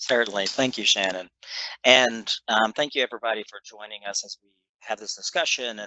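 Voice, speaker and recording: Speaking with a slight Kentucky accent, a man uses a medium pitch, ordinary pitch variation and big swings in loudness at a fairly quick pace. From western Kentucky. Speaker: clinical psychologist. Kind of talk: panel discussion.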